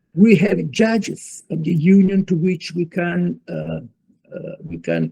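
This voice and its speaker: This voice, in an Italian accent, proceeds at a very slow pace. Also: man, big swings in loudness. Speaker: law professor. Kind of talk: lecture. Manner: halting.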